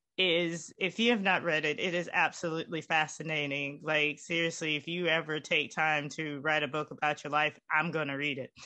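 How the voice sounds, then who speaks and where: This woman speaks with a Southern US accent at a very deep, low pitch, her tone bright and sharp. Her intonation stays fairly even, and she hardly pauses at all. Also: moderate pace. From Winston-Salem, North Carolina. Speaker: church event co-host. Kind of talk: formal introduction. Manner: halting.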